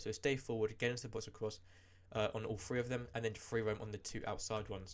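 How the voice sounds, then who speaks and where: A man talks at a very fast pace. His pitch sits in the middle range. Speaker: gaming youtuber. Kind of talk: tutorial.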